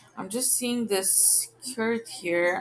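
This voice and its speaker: A woman's somewhat breathy voice makes very wide pitch swings as she speaks at a very slow pace. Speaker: video tutorial maker. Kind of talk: tutorial. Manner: soft-spoken.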